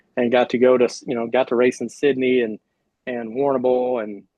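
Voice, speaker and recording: A man talks with an American accent. His pitch is medium. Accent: drawl. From Oklahoma. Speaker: retired sprint car driver. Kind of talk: casual interview chat.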